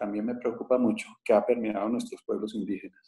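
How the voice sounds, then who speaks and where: Here a man speaks at a medium pitch. His tone is dark and mellow, with fairly even intonation. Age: 60s. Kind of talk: talk at a panel. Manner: halting.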